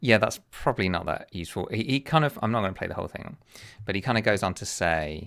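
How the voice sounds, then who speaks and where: This man talks at a fairly quick pace with lively intonation. His pitch sits fairly low. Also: very clean recording, silent background. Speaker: chess streamer. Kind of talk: casual commentary. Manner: soft-spoken; hesitant.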